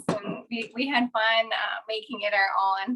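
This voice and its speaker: A woman speaks at a fairly slow pace. Her fairly high voice has a bright, sharp tone. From Minnesota. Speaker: kitchenware sales consultant. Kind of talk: product demonstration. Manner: animated.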